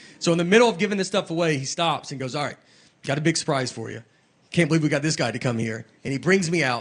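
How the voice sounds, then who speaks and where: The voice races along at a very fast pace with lively intonation. It sounds somewhat breathy. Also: man. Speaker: stand-up comedian. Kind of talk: stand-up comedy storytelling to a live audience. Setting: live theater with audience.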